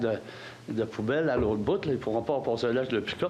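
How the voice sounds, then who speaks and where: Speaking with a Quebec accent, a man moves at a fairly quick pace. Noticeable background noise and audible room echo come through. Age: 70s. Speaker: citizen asking question. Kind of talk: public meeting Q&A. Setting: council hall with audience.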